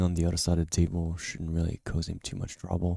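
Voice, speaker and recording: A man with a French accent talks at a moderate pace, his pitch very deep and low. The tone is dark and mellow, and the sound is dry and close with no echo. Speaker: pool commentator and trick shot artist. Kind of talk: live commentary.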